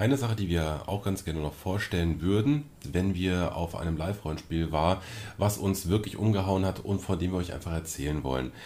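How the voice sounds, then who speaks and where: Very deep and low in pitch, a man's dark, mellow voice moves at a fairly quick pace with ordinary pitch variation. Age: 30s. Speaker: podcast co-host, role-playing game master. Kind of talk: casual chat.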